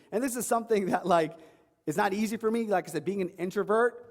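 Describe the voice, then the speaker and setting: In a New York accent, a man talks with an animated tone and ordinary pitch variation. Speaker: online fitness coach. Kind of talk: seminar talk. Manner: fast.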